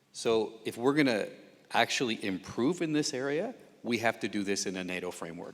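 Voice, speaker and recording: A man speaks at medium pitch and a fairly quick pace, his intonation lively. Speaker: defence official. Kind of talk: panel discussion.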